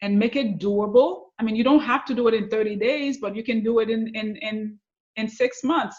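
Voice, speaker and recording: A woman speaks at a moderate pace with a fairly high pitch and ordinary pitch variation. Her voice is somewhat breathy. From Haiti. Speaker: author and success coach. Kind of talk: interview.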